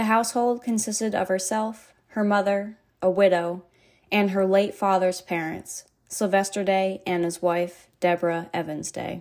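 A woman with a normal speaking voice and an American accent, medium pitch, moderate pace and fairly even intonation, on a very clean recording with a silent background. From New Hampshire, US. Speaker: true crime podcaster. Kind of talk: scripted narration. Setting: home office.

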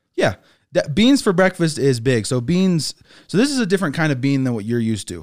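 On a very clean recording with a silent background, a man with an American accent talks at a very fast pace, his pitch swinging very widely. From northern England. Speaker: snack presenter. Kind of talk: casual chat.

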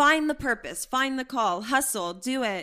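In a very clean recording with a silent background, a woman with an American accent speaks in a bright, sharp tone. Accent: some Pennsylvania expressions. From Pittsburgh, Pennsylvania. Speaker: biblical counselor. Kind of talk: testimony. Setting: at home in a kitchen.

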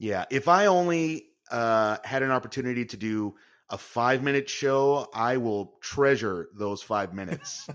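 A man has an unremarkable speaking voice at a medium pitch. He speaks at a fairly slow pace with lively intonation. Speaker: podcast host, improv performer and magician. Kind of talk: casual interview conversation.

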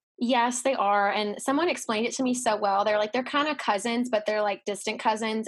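A woman speaks very fast with an American accent and a fairly high pitch. The recording is very clean, with a silent background. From Texas, Dallas. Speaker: former theme park character performer. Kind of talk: casual interview chat.

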